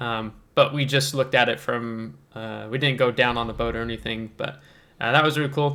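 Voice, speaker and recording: Set in a very clean recording with a silent background, a man speaks in a bright, sharp tone with fairly even intonation. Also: medium pitch for a man, moderate pace. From southern Indiana, US. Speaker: gaming YouTuber. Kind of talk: casual Q&A chat. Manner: halting, many fillers.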